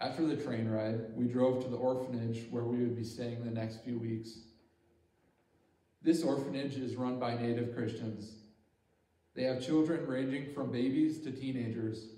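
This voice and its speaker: A man speaks with an Upper Midwest accent. His intonation is monotone and flat. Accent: Upper Midwest American. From Bemidji, Minnesota. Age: 20s. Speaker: engineering technology student. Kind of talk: church talk about mission trip.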